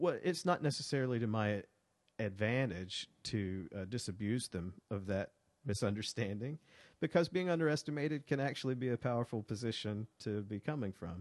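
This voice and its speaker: With an Alabama accent, a man speaks at a medium pitch and a moderate pace, his intonation lively. The sound is dry and close with no echo, over a quiet background. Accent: Southern US (Alabama). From US South (Alabama: Birmingham, Montgomery). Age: 40s. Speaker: writer. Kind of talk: casual chat. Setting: studio.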